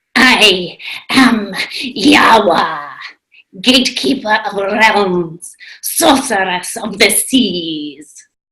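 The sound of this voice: At a very slow pace, a female-sounding put-on character voice speaks at a medium pitch.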